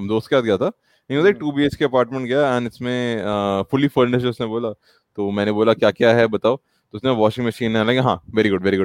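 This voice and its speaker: At a moderate pace, a man speaks in an unremarkable speaking voice with medium pitch and fairly even intonation, recorded in a dry, close sound with no echo. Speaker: podcast host. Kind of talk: casual chat.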